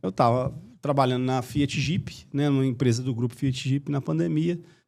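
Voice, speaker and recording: This man has a Minas Gerais accent and a medium pitch. He talks at a moderate pace. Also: ordinary pitch variation. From Minas Gerais, Brazil. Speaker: marketing agency owner. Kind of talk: podcast interview.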